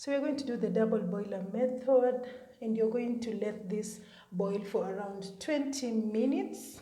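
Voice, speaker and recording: A woman with a fairly high voice speaks at a moderate pace and with fairly even intonation. Room echo can be heard. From Kenya. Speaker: beauty content creator. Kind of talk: tutorial. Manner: casual, chatty.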